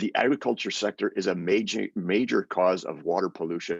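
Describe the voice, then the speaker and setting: A man's very deep, low voice with a Canadian accent and fairly even intonation, the sound dry and close with no echo. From Canada. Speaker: UN human rights expert. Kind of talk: webinar presentation.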